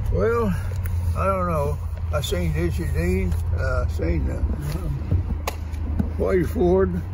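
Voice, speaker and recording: A man with a very deep, low pitch speaks at a very slow pace with fairly even intonation and long, frequent pauses, in a dry sound with no echo over noticeable background noise. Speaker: war veteran. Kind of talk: casual conversation. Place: car. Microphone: phone near.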